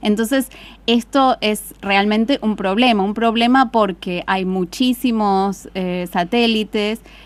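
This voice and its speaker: A woman's fairly high voice with a slight British accent, fairly even intonation and a very slow pace. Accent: slight British tinge in Spanish. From Argentina, Buenos Aires province. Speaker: astrophysicist. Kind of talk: interview. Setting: studio.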